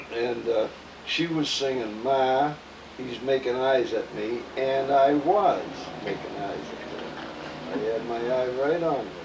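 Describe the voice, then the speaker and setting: Amid noticeable background noise and audible room echo, a man with an American accent speaks at a very slow pace and a medium pitch, with ordinary pitch variation. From Massachusetts (Cambridge, Boston area). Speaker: elderly father interviewed about memories. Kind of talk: family interview, reminiscing. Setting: home apartment, video recording.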